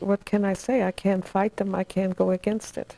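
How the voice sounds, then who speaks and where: A woman speaks with a German accent, her pitch medium and her tone dark and mellow. Her pace is moderate, and the sound is dry with no echo. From Germany, Hamburg; Germany. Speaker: Nazi-era survivor; interviewee. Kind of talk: oral history interview. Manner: halting. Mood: reflective, sometimes sorrowful. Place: home room. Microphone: lapel.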